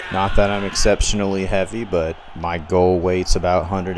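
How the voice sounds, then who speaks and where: Over noticeable background noise and audible room echo, a man with a Southern US accent speaks at a very deep, low pitch with fairly even intonation. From US South. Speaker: gaming YouTuber. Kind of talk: gameplay commentary. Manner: casual, conversational.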